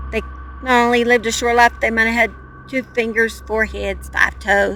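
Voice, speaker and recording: Over noticeable background noise, a woman talks at a moderate pace with an American accent. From Oklahoma. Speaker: true crime youtuber. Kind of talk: casual vlog narration. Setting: outdoors on a mountain. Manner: animated.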